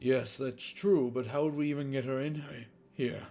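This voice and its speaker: A man's put-on character voice, medium in pitch, fairly even in intonation, at a moderate pace. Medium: read story. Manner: guarded, evasive.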